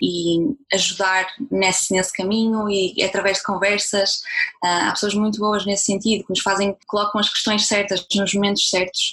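Noticeable background noise sits behind a woman speaking at a moderate pace in a medium pitch. Her loudness stays very even and her intonation is monotone and flat. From northern Portugal, Braga. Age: 20s. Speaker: entrepreneur, communications professional. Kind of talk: interview.

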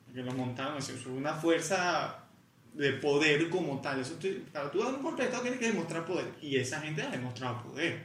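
Fairly high-pitched, fairly quick speech from a man with lively intonation, plus audible room echo and noticeable background noise. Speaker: podcast co-host. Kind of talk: casual chat.

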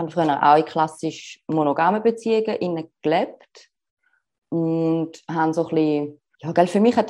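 A woman speaks at a fairly low pitch with a dark, mellow tone. Her pitch variation is ordinary. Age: 30s. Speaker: relationship coach. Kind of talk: interview.

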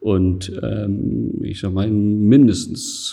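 A man speaks in a dark, mellow tone. His pitch sits fairly low. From Essen, Ruhr area, Germany. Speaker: gallery owner. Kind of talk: interview.

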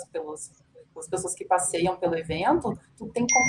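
The clip features a woman talking. Behind her, background noise is noticeable. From São Leopoldo, Rio Grande do Sul, Brazil. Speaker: business administrator, retail researcher. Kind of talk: casual chat.

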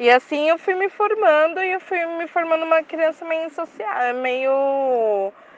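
Amid noticeable background noise, a woman with an extremely high pitch and lively intonation speaks at a fairly slow pace with hardly any pauses. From São Paulo east side, Brazil. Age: 20s. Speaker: university student. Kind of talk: recorded testimony.

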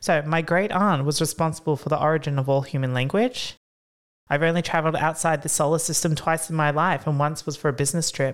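Over a very clean recording with a silent background, a woman talks at a very fast pace in a very deep, low pitch, her intonation fairly even and her loudness very even. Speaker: podcast co-host. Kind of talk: casual chat.

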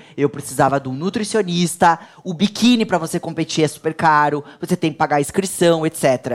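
At a moderate pace, a woman with a very deep, low voice speaks in lively intonation. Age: 40s. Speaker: entrepreneur and pharmacist. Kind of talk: interview.

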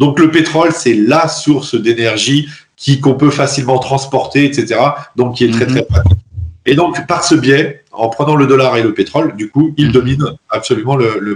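At a moderate pace, a man speaks with a fairly high pitch and ordinary pitch variation. His voice is somewhat breathy. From France. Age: 30s. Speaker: engineer and Bitcoin advocate. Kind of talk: interview. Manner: hesitant, many fillers.

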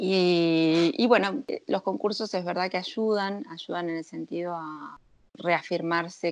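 Against a quiet background, a woman with a fairly low pitch talks at a fairly slow pace in a normal speaking voice with lively intonation. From Argentina. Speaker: sommelier. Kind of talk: interview.

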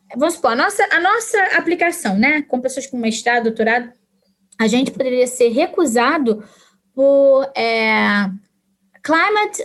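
With very wide pitch swings at a high pitch, a woman talks at a fairly slow pace, leaving long, frequent pauses. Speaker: historian and teacher. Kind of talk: casual interview conversation.

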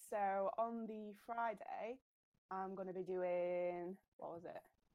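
This is a woman speaking. She has a Yorkshire accent. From South Yorkshire, Sheffield. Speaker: cosplayer. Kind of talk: casual interview.

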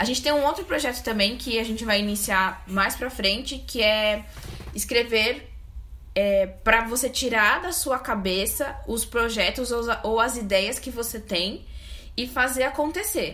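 A woman with a fairly high pitch speaks at a fairly slow pace. Audible room echo and noticeable background noise are present. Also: ordinary pitch variation. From São Paulo, Zona Sul. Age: 30s. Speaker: cultural entrepreneur, co-founder. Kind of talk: casual chat.

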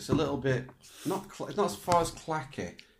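With a northern English accent, a man talks at a fairly quick pace with ordinary pitch variation. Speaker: podcast co-host. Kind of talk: casual chat.

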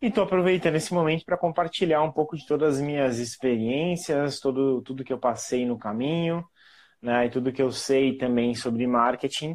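Against a quiet background, a man with an ordinary speaking voice talks at a moderate pace, fairly high in pitch, with ordinary pitch variation. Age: 30s. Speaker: marketing professional. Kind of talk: casual interview.

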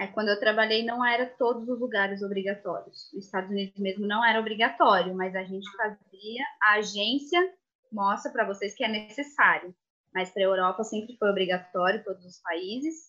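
A woman with a plain, everyday voice speaks at a fairly high pitch and a moderate pace. Her pitch variation is ordinary, while her loudness swings widely. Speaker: former au pair. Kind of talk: live stream panel talk.

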